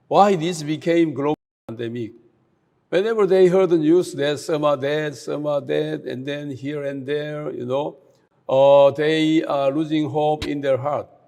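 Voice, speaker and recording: A man speaks with a Korean accent in a fairly high voice. His tone is dark and mellow, and his intonation fairly even. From South Korea. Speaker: speaker at a youth camp. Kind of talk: talk to an online youth audience. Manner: hesitant, many filler sounds.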